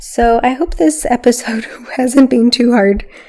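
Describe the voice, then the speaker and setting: A woman's fairly high pitch with ordinary variation. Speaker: spirituality teacher and podcast host. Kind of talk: podcast monologue. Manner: panting between sentences.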